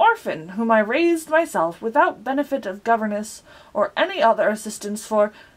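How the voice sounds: Lively intonation in a natural reading voice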